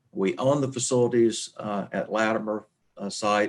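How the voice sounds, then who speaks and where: A man with an Arkansas accent, fairly slow and with fairly even intonation. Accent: Southern US (Arkansas). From Arkansas, US South. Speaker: human resources leader. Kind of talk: webinar presentation. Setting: webinar.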